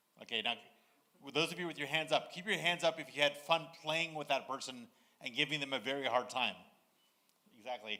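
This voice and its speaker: A man with an American accent, fairly high-pitched and bright and sharp in tone, at a fairly quick pace with ordinary pitch variation and long, frequent pauses. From United States. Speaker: conference moderator. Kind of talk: conference moderation to a live audience. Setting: conference stage with audience. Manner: casual, joking.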